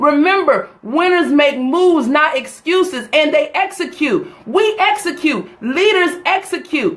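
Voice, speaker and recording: A woman speaks with an American accent at an extremely high pitch, in an animated tone with lively intonation. Her loudness stays very even, and her pace is fairly slow. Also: hardly any pauses. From US South, North Carolina. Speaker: motivational speaker. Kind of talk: live motivational talk.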